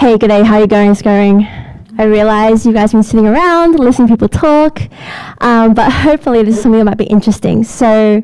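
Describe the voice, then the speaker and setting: A woman with an Australian accent, fairly high-pitched, at a very fast pace, with ordinary pitch variation and very even loudness. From Australia, Sydney. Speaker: product manager. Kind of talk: lightning talk. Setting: stage with audience. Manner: animated.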